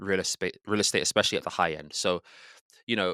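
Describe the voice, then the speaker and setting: A man with a British accent speaks in a fairly low pitch, with a bright, sharp tone and ordinary pitch variation. The recording is very clean and dry, close with no echo, over a silent background. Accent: British, remarked on. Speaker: real estate agent. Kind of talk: interview answer.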